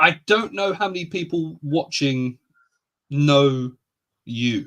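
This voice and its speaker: This man has a southern English accent and a fairly high pitch. He talks at a very slow pace with lively intonation. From England, near London. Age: 30s. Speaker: reptile podcast host. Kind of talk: casual chat.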